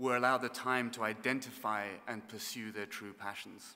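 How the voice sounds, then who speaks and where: A man with a southern English accent speaks at a medium pitch in a bright, sharp tone, his intonation fairly even. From southern England. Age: 30s. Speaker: orchestra conductor. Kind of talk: keynote speech. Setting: graduation ceremony with audience. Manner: formal.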